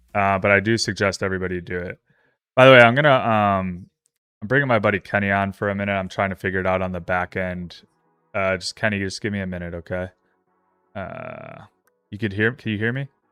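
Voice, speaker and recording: Music plays behind a man with an American accent who talks at a very fast pace with long, frequent pauses, in a dry, close sound with no echo. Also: fairly low pitch for a man, fairly even intonation. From upstate New York. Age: 30s. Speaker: trading livestreamer. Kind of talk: casual livestream chat. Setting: livestream.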